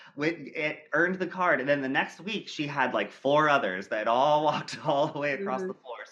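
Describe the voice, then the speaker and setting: Over noticeable background noise, a man with an American accent speaks at a fairly quick pace with hardly any pauses, his fairly high pitch varying in an ordinary way. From US Midwest, small-town Ohio. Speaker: dance and acrobatics teacher, choreographer. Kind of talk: interview, technical teaching talk. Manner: animated, many fillers and restarts.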